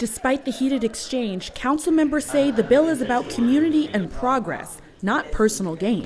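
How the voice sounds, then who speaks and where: A woman speaks at a high pitch with lively intonation and hardly any pauses. Noticeable background noise is present. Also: moderate pace. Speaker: TV news reporter. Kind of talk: news report.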